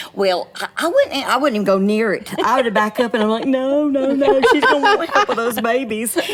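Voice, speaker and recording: A woman's high-pitched voice with a Southern US accent, lively intonation, a fairly quick pace and hardly any pauses, over noticeable background noise. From US South. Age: 60s. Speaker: comedian. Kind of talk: casual chat. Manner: animated.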